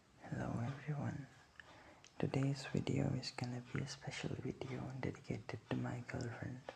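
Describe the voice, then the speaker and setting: Against noticeable background noise, a soft-spoken man talks at a moderate pace. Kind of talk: casual ASMR intro talk to camera.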